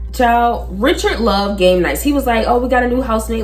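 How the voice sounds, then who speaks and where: Audible room echo on a woman's voice, background music alongside. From Philadelphia, US. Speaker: YouTuber. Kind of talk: storytelling vlog. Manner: animated.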